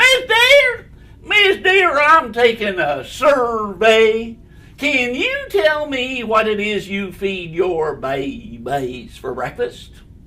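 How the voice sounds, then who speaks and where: The pace is very slow. A put-on character voice carries a fairly high pitch. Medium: read story. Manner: eager, chirpy.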